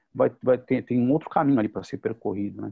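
Using a normal speaking voice, a man talks at a medium pitch and a fairly quick pace. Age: 50s. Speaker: psychoanalyst and teacher, show presenter. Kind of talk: casual panel discussion.

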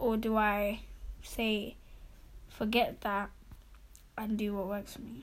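Somewhat breathy, the voice moves at a very slow pace. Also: woman. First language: not English. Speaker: podcast co-host. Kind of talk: casual chat.

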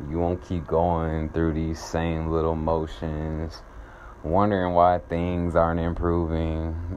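A man's very deep, low voice in a flat monotone, with an American accent, a very slow pace and audible room echo. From US South, Atlanta, Georgia. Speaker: podcast host, spiritual healer. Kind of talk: guided meditation; uplifting monologue.

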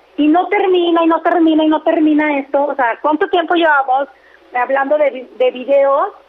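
Noticeable background noise sits behind a woman's high voice. Her moderate pace carries lively intonation. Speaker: entertainment radio host. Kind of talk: casual chat.

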